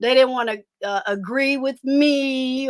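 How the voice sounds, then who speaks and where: Raised and projected, a woman's high-pitched voice carries a bright, sharp tone with ordinary pitch variation. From Detroit, US. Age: 60s. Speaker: online commentator and military veteran. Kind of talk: casual live-stream chat.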